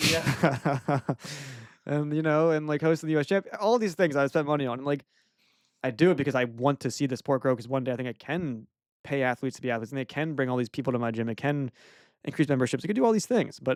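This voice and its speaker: In a dry, close sound with no echo, a man speaks at a very fast pace with an animated tone and a fairly high pitch. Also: ordinary pitch variation. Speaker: podcast host and chase tag gym owner. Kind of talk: casual podcast interview.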